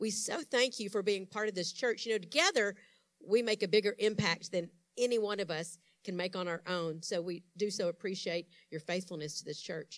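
A woman talks at a fairly quick pace with a medium pitch and ordinary pitch variation, in a plain, everyday voice. The recording is very clean, with a silent background. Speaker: church announcer. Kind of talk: announcements.

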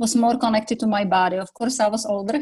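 This woman has a fairly high, somewhat breathy voice with a Czech accent. Her intonation stays fairly even. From Czech Republic. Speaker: yoga teacher. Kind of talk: interview. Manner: calm.

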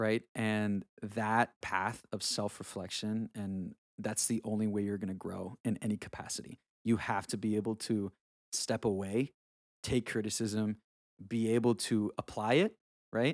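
A man's fairly low, monotone, flat voice at a fairly slow pace, dry and close with no echo, on a very clean recording with a silent background. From Honduras. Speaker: music video director and musician. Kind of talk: casual interview.

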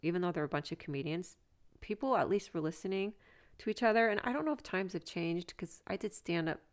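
With a plain, everyday voice, a woman speaks at a fairly low pitch and with lively intonation on a very clean recording with a silent background. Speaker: comedian. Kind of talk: casual chat.

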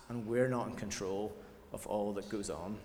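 There is audible room echo around this man's voice. He speaks at a fairly slow pace. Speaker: church leader. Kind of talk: sermon.

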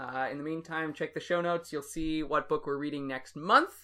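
Bright and sharp in tone, a man's fairly high voice keeps a fairly even intonation. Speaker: podcast host. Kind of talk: casual chat. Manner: fast.

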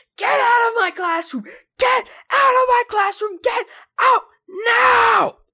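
A put-on character voice shouts at an extremely high pitch. The pace is fairly slow. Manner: screaming, furious.

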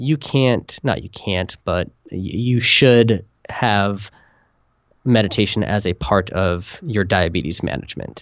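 A man's fairly low, lively-toned delivery in a normal speaking voice, at a fairly slow pace. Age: 30s. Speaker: author with type 1 diabetes, meditation teacher. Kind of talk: podcast interview. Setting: phone call.

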